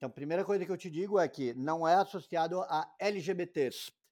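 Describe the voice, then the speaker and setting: A man speaks in a normal speaking voice at a fairly slow pace. His pitch varies ordinarily, and the recording is very clean with a silent background. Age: 40s. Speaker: infectious disease doctor. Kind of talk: interview.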